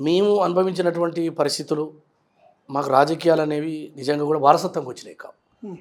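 A man's voice with fairly even intonation. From Telangana, Nalgonda district. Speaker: politician. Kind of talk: interview.

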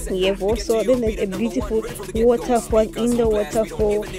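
A woman speaks with a dry sound and no echo, while clear music plays in the background. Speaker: travel vlogger. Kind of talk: casual vlog chat. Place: tunnel cave. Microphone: phone near.

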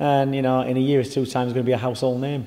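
Here a man talks at a very fast pace. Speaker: boxing trainer. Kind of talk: interview answer. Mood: confident, proud. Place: gym.

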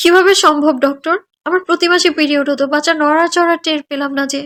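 A woman does a put-on character voice that is high, shaky and fairly even in intonation, speaking fairly quickly in a dry, close sound with no echo.

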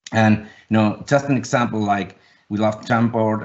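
This man has a fairly low pitch and a Finnish accent. He talks at a moderate pace. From Finland. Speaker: design agency founder and executive; panelist. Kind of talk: webinar panel discussion. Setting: video call. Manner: halting. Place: home room. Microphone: webcam.

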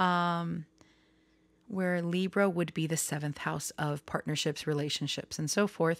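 A woman with an unremarkable speaking voice talks at a fairly low pitch and a fairly slow pace. Her intonation stays fairly even on a very clean recording with a silent background. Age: 30s. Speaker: tarot reader and astrology youtuber. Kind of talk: casual vlog monologue. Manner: rambling with many fillers.

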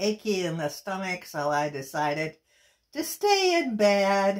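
A woman's very slow speech over a quiet background. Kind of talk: personal video message. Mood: emotional, grateful. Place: home room. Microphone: phone near.

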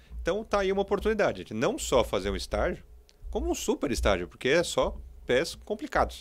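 Keeping his loudness very even, a man talks at a fairly quick pace. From Brazil. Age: 40s. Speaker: entrepreneur; podcast interviewer. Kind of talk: interview. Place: studio. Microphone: studio mic.

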